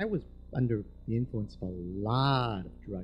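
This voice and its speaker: A man speaks over light background noise. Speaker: storyteller. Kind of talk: live storytelling performance. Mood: warm, humorous. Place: stage. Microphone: handheld.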